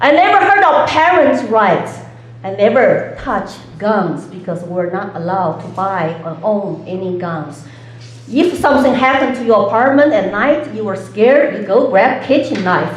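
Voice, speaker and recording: Over noticeable background noise and audible room echo, a woman with a Chinese accent speaks at a moderate pace, her pitch swinging very widely. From China. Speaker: political candidate. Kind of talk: debate opening statement.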